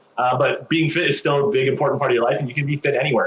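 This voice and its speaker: Talking at a very fast pace, a man with a fairly high pitch uses ordinary pitch variation over noticeable background noise. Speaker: fitness coach and podcast host. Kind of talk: interview question, upbeat podcast host.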